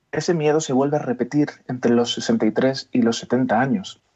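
This is an ordinary speaking voice with lively intonation. The pace is fairly slow. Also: man. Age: young. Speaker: chiropractor. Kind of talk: radio interview.

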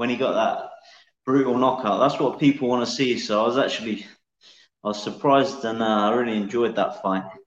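A man speaks at medium pitch with ordinary pitch variation. His pace is fairly quick, and the room echo is audible. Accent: English Midlands. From England, Northamptonshire. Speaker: mixed martial arts fighter. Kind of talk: interview.

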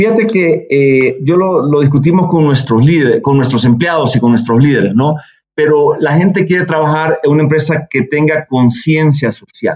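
A man's plain, everyday voice, fairly high in pitch with ordinary variation, at a moderate pace and very even loudness. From El Salvador. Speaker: business executive. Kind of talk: interview.

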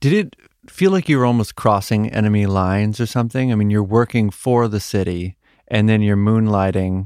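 In a very clean recording with a silent background, a man with an American accent speaks at a moderate pace in an unremarkable speaking voice. His pitch is fairly low with ordinary variation, and the sound is dry and close with no echo. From Boston, US. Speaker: podcast host. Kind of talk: interview.

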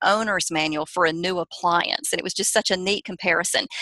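In a Southern US accent, a woman speaks at medium pitch with a bright, sharp tone, the sound dry and close with no echo. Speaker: parenting author and speaker. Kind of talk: interview, advice talk.

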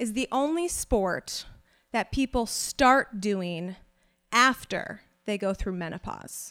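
In a normal speaking voice, a woman talks with an American accent and lively intonation at a fairly high pitch. The recording is very clean, with a silent background. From South Carolina. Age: 20s. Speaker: storyteller. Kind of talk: live storytelling. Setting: stage with audience.

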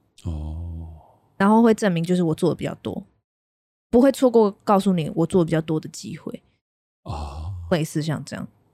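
Long, frequent pauses break up a woman's speech. She talks at a moderate pace with big swings in loudness. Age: 20s. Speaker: podcast co-host and content writer. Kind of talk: casual chat.

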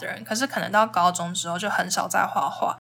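Very fast speech in a Taiwanese accent. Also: woman. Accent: Taiwanese Mandarin. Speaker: travel podcaster. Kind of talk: casual solo podcast talk.

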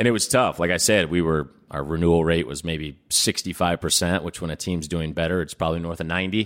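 Barely pausing, a man with a Midwestern American accent speaks at a very fast pace in a very deep, low pitch with fairly even intonation, on a very clean recording with a silent background. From Indianapolis, Indiana. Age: 30s. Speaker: nonprofit leader. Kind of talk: interview.

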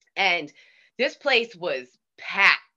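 A woman with a Boston accent speaks at a fairly slow pace. Her medium-pitched voice has a bright, sharp tone. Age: 50s. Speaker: DJ. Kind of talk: casual chat. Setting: video call.

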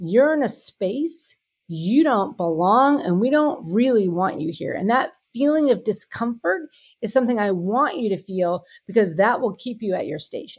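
A woman's fairly high voice with very wide pitch swings at a moderate pace, in a very clean recording with a silent background. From US, Pittsburgh. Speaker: tech company CEO. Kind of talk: interview conversation.

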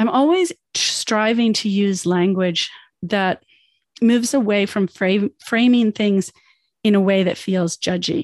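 A woman with an ordinary speaking voice and a Canadian accent talks at a fairly slow pace, with medium pitch and ordinary pitch variation. Her loudness stays very even, and the sound is dry and close with no echo over a quiet background. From United States, moved to Canada as a child. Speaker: podcast host, life coach. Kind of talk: podcast monologue, self-help.

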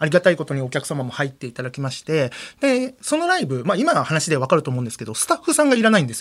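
This man talks at a very fast pace and a fairly high pitch. His pitch swings very widely. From Nagoya, Aichi. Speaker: kaidan storyteller comedian. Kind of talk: ghost story telling. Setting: studio.

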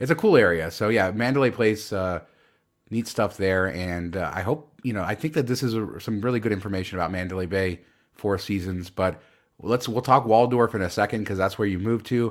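Here is a man with an unremarkable speaking voice and fairly low pitch. He moves at a fairly quick pace with ordinary pitch variation. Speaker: podcast host. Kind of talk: casual chat.

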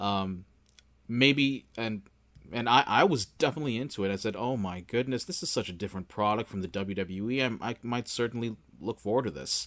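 A man speaks in an unremarkable speaking voice, with ordinary pitch variation. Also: medium pitch for a man, fairly quick pace. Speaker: podcast host. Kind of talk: casual interview.

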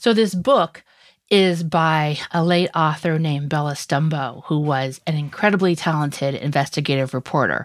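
A woman in an ordinary speaking voice talks with an American accent at a moderate pace and fairly low pitch, recorded very cleanly against a silent background. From US rural West. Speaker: legal journalist. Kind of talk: casual chat.

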